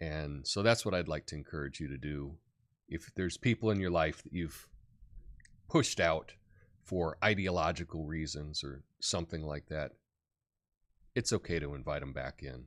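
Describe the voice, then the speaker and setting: On a very clean recording with a silent background, a man with a very deep, low voice and vocal fry speaks with long, frequent pauses and big swings in loudness. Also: ordinary pitch variation, moderate pace. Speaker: news commentary show host. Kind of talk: live show commentary. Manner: halting.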